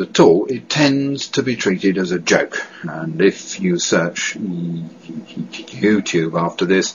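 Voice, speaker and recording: A man with a British accent, lively intonation, hardly any pauses, and noticeable background noise. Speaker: director of a stammering association. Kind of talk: testimony. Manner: halting, with repetitions and blocks.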